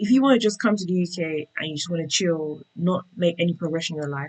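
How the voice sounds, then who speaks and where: A woman talks at a fairly quick pace in a British accent. Her fairly low pitch shows ordinary variation. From England, UK-born of Nigerian Yoruba parents. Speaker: tech worker sharing relocation experience. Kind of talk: interview conversation.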